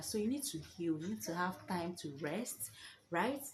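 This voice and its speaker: A woman with a Nigerian accent speaks at a moderate pace with lively intonation. Her voice is fairly low and somewhat breathy. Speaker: vlogger, new mother. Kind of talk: casual advice vlog. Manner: animated.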